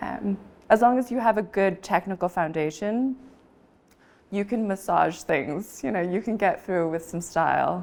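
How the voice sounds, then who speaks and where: With an American accent, a woman talks in a plain, everyday voice at medium pitch, using ordinary pitch variation and a moderate pace. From Taiwanese American. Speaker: auctioneer. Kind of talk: interview answer.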